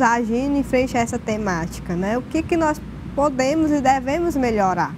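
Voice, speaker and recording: Over noticeable background noise, a woman speaks at a moderate pace with a high pitch and lively intonation. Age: 30s. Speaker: social worker; guest. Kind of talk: panel discussion. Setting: TV studio. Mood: earnest, reflective. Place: studio. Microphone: lapel.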